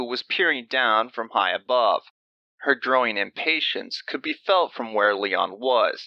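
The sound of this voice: An unforced reading voice with ordinary pitch variation against a quiet background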